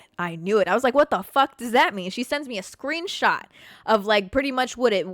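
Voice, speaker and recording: A woman with a high pitch is heard in a dry, close sound with no echo. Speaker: podcast host. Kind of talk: casual monologue. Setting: live stream. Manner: stutters.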